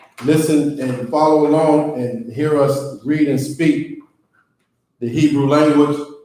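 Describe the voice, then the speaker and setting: With audible room echo, a man with a dark, mellow tone speaks in a monotone, flat way at a fairly slow pace and a fairly high pitch. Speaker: Hebrew language teacher. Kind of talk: lesson. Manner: loud; casual.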